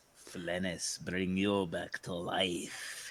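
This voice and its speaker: Putting on a character voice, the man drops his pitch very deep and low. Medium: actual play. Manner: calm and unafraid.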